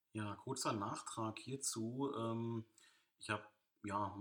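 A man's fairly low voice at a very slow pace. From Brandenburg, Germany (Eberswalde). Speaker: podcaster. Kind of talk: solo monologue. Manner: halting, many fillers. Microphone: new microphone, poor recording quality.

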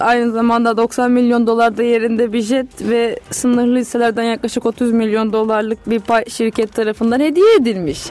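A woman with a fairly high pitch talks at a moderate pace, with hardly any pauses, fairly even intonation and very even loudness. Noticeable background noise runs underneath. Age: 20s. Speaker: student radio co-host. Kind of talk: casual chat.

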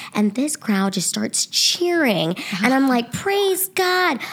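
An energetic tone carries very wide pitch swings, with noticeable background noise behind it. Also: woman. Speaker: comedian. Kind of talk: casual chat. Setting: studio.

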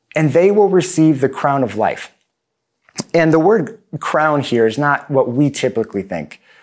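A man speaks in a plain, everyday voice. His pitch is fairly high and his pace moderate. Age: 30s. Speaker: pastor. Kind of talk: sermon. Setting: video recording for online congregation.

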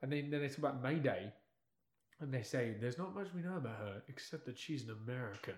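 Somewhat breathy, a man speaks at medium pitch and a very fast pace. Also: lively intonation. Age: young. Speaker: podcast co-host reviewing movies. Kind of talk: casual chat.

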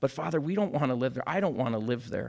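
The recording is very clean with a silent background as a man talks at a medium pitch. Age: 40s. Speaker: speaker at a church young adults gathering. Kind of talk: sermon. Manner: casual, with hesitations and fillers.

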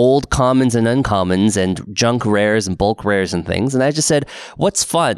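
In a Pacific Northwest accent, a man speaks with a dry, close sound and no echo. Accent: General American (Pacific Northwest). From Portland, Oregon. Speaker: podcast host. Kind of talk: casual chat.

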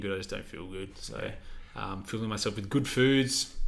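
A man talks in an Australian accent with audible room echo. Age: 20s. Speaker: physiotherapist and podcast co-host. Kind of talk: casual chat.

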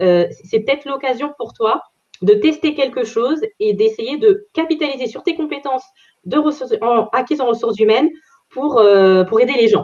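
This woman's pitch is fairly high. She makes very wide pitch swings. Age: 30s. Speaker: career change coach. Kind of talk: interview. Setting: video call.

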